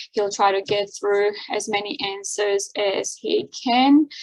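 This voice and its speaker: A woman with an Armenian accent talks at a very slow pace with ordinary pitch variation. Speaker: seminar host and interpreter. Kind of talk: event introduction. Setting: video call. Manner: hesitant, many fillers.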